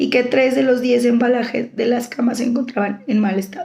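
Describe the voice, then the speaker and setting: High-pitched female voice, fairly slow in pace. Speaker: law student. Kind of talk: school assignment presentation. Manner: halting.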